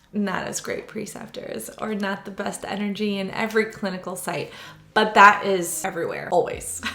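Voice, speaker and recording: Over noticeable background noise and audible room echo, a woman talks at a moderate pace in a monotone, flat intonation, her loudness swinging widely. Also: medium pitch for a woman. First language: Hebrew. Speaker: sonographer. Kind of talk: casual Q&A vlog. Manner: conversational, with frequent fillers.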